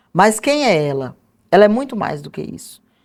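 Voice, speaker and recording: The recording is very clean with a silent background. A woman does the talking. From interior of Mato Grosso, Brazil. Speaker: historian and author. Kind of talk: interview.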